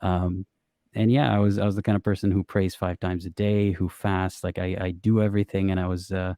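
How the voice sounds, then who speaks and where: A man with an Arabic accent at a very deep, low pitch, in a dark, mellow tone with fairly even intonation and a fairly quick pace, in a dry, close sound with no echo on a very clean recording with a silent background. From Middle East. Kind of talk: interview testimony. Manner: hesitant, many fillers.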